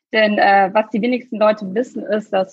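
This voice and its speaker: The speaker is a woman. Her voice carries some breathiness. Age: 30s. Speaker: startup founder. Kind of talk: podcast interview. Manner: frequent fillers.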